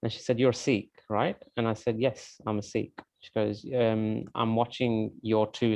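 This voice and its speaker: A man with a British accent talks at a fairly low pitch. His pace is moderate and his intonation is monotone and flat. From UK. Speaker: event moderator. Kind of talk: online panel discussion.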